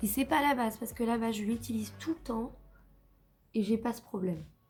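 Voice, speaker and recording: With music in the background, a woman speaks fairly slowly at a fairly high pitch with ordinary pitch variation. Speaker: makeup youtuber. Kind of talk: casual talk to camera.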